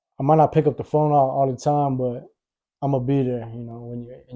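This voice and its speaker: A man talks fairly quickly at a medium pitch in a monotone, flat way. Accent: American. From Victorville, California, US. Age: 30s. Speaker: rapper. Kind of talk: casual interview.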